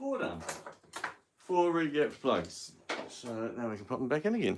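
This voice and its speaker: This man speaks with a New Zealand accent at a moderate pace. His pitch swings very widely. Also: medium pitch for a man. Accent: New Zealand accent, noticed by viewers. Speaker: car hobbyist livestreamer. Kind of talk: casual live-stream tutorial. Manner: relaxed, hesitant with fillers.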